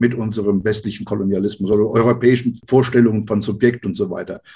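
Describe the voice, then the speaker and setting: A man speaks at a very fast pace with fairly even intonation. His voice is somewhat breathy, with a dark, mellow tone. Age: 70s. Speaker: retired sociology professor. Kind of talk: podcast interview.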